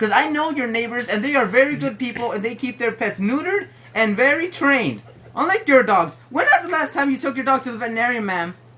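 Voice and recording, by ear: A man's put-on character voice at an extremely high pitch, bright and sharp in tone, with lively intonation and a fairly quick pace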